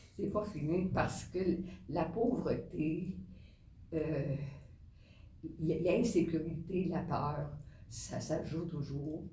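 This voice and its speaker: A woman speaks at a very slow pace with long, frequent pauses, in a dark, mellow tone. Her pitch is fairly low with ordinary variation, and there is audible room echo. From Quebec. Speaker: nun and social worker. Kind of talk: interview. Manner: halting, repeats words.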